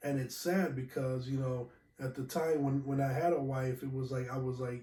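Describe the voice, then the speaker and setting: A man's medium-pitched, somewhat breathy voice with a dark, mellow tone at a moderate pace. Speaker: podcast host. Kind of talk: casual solo podcast talk. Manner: halting, many fillers.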